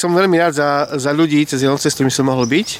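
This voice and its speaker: A man talks very fast at a fairly high pitch with ordinary pitch variation. Noticeable background noise is present. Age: 40s. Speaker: youth group leader. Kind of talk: casual chat. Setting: outdoors.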